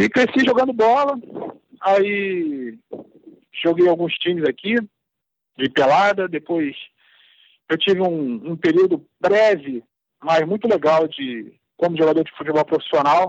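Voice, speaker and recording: Pausing long and often, a man with a high voice speaks at a fairly slow pace with lively intonation. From Rio de Janeiro, Brazil. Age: 50s. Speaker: amateur football historian and former player. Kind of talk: interview. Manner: halting.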